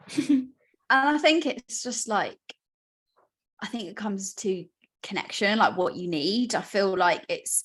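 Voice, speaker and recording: With a British accent, a woman talks in a fairly high pitch and lively intonation, broken by long, frequent pauses. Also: fairly slow pace, big swings in loudness. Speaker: podcast host. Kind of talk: casual chat.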